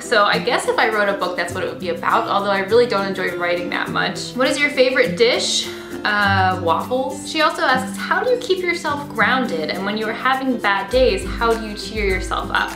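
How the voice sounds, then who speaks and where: With clear music in the background, a woman speaks at a fairly quick pace with hardly any pauses. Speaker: beauty vlogger. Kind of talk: casual vlog chat. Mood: cheerful, relaxed. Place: home room.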